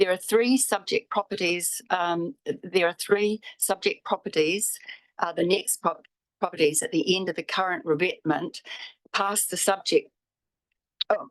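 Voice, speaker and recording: A woman speaks at a fairly slow pace and a medium pitch, with ordinary pitch variation and long, frequent pauses. The sound is dry and close, with no echo. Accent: New Zealand. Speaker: public forum speaker, property owner. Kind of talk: public submission to council. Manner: halting.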